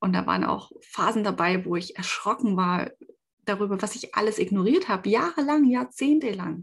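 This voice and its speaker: Her pitch fairly high and her intonation lively, a woman sounds somewhat breathy. She goes at a moderate pace against a quiet background. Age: 30s. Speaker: podcaster. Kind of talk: personal testimony. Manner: hesitant, with many fillers.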